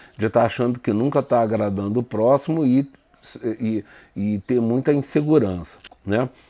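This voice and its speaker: A man's dark, mellow tone at a fairly slow pace. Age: 60s. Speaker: spiritist lecturer. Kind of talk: spiritual lecture. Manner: halting.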